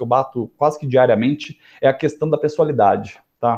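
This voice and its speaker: The man has a dark, mellow tone and speaks at a fairly quick pace. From Brazil, interior of São Paulo state. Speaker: lawyer. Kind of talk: casual interview.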